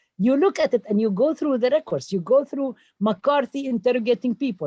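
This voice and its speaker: Against a quiet background, a woman speaks at a moderate pace with a Palestinian accent. Her tone is dark and mellow, and her intonation is lively. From Palestine. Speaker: professor. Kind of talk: town hall talk. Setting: video call. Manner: animated.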